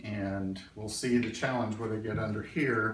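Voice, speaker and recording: With light background noise and audible room echo, a man speaks at a fairly slow pace with fairly even intonation. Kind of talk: tutorial vlog. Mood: calm, friendly, modest.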